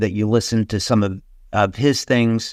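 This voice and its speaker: This is an unremarkable speaking voice from a man at medium pitch, with fairly even intonation and a moderate pace. The sound is dry and close, with no echo. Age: 60s. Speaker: company webinar presenter. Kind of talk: webinar presentation. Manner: casual, with many fillers.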